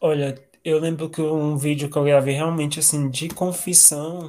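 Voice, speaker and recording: At a fairly slow pace, a man speaks in a dark, mellow tone with a fairly high pitch. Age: 20s. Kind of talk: casual interview.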